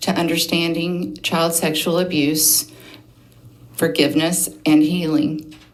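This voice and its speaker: A woman with a fairly low pitch speaks at a fairly slow pace, with audible room echo. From Oklahoma, Osage County. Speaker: abuse survivor testifying. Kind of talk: testimony. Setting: legislative committee hearing. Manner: reading prepared notes.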